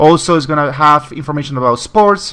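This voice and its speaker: Speaking at a fairly quick pace, a man with a Spanish accent has a fairly high pitch. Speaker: tech video blogger. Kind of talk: casual product commentary. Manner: halting, many fillers.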